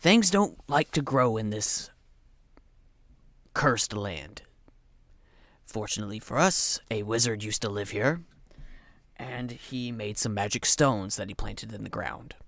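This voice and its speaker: A man's raspy, put-on character voice at a medium pitch and moderate pace, with long, frequent pauses, on a very clean recording with a silent background. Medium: actual play. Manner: folksy, plain-spoken.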